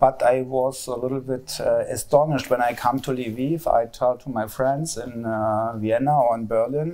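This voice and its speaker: Speaking with a German accent, a man uses a dark, mellow tone at a medium pitch. His pace is fairly slow, and his pitch varies in an ordinary way. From East Germany. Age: 50s. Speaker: sculptor. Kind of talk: public talk interview. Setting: public event with audience. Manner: halting, hesitant.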